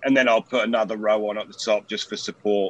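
A man's fairly low-pitched voice at a moderate pace. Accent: British. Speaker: home grower. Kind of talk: casual chat.

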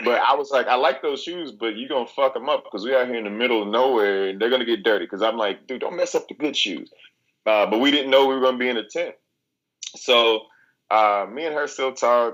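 Someone with a Southern US accent talks at a very fast pace with ordinary pitch variation. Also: man, medium pitch for a man. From Arkansas, US South. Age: 30s. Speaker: reality TV competitor. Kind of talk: casual chat.

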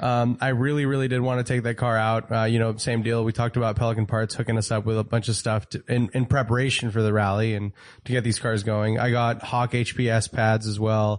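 A man at medium pitch speaks at a fairly quick pace in a monotone, flat intonation with hardly any pauses. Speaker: car podcast co-host. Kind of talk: casual chat.

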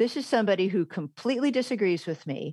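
Dry and close with no echo, a woman with an American accent speaks at a moderate pace with lively intonation in an unremarkable speaking voice. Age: 50s. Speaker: former English professor. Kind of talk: interview.

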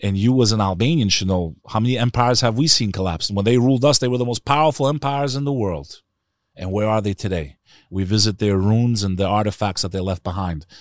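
A man with a New York accent at a very fast pace, fairly low in pitch with ordinary pitch variation, in a very clean recording with a silent background. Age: 40s. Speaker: Albanian-American podcaster. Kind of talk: casual interview conversation. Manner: animated.

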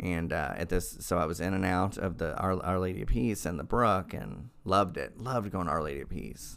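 Delivered at a fairly quick pace with hardly any pauses, the voice shows vocal fry and ordinary pitch variation. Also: man, very deep, low pitch for a man. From Oklahoma. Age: 40s. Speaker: recovering alcoholic sharing story. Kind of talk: testimony.

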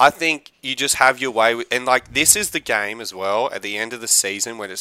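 A man speaks in an animated, bright and sharp tone at a medium pitch, with ordinary pitch variation. The recording is very clean with a silent background, and the sound is dry and close with no echo. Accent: Australian. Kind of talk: casual chat.

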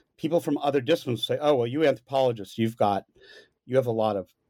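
A dark, mellow tone carries lively intonation in an American accent. The sound is dry and close with no echo, on a very clean recording with a silent background. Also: man. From US. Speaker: anthropology professor. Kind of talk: interview about his book.

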